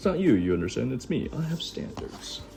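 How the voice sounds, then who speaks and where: Over clear background music, a man uses a put-on character voice, fairly high in pitch and at a fairly quick pace. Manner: suave, snooty.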